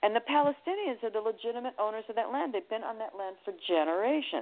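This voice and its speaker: A woman with an American accent has a normal speaking voice, fairly high in pitch, delivered at a fairly quick pace with lively intonation. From Connecticut, US. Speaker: singer, attorney and psychic reader. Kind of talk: interview.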